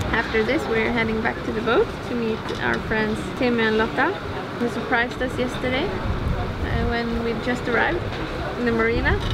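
A woman talks at a moderate pace despite loud background noise. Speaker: sailing travel vlogger. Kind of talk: casual vlog chat. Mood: relaxed, cheerful. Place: cafe. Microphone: camera far.

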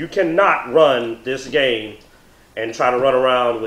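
Audible room echo around a man's voice, its pitch varying in an ordinary way. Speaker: tabletop game reviewer. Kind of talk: review discussion. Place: home room.

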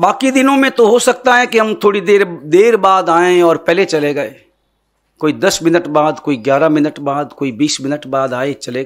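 A man talks at a fairly slow pace, the background quiet. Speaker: religious teacher. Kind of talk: sermon. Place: stage. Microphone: podium.

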